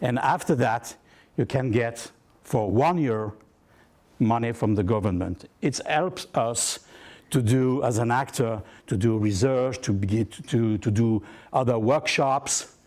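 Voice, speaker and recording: The recording is very clean, with a silent background. A man talks at a fairly slow pace with a medium pitch and ordinary pitch variation. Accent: French. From southern France. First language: French. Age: 60s. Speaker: actor. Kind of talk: workshop talk. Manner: halting.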